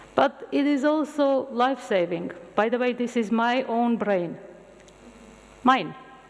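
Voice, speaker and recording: A woman with an Armenian accent, lively intonation and a fairly slow pace, against noticeable background noise. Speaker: medical scientist lecturer. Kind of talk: lecture.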